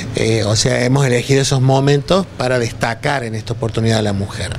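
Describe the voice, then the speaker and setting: Light background noise sits behind a man. He talks at a fairly quick pace. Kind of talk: interview answer. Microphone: handheld.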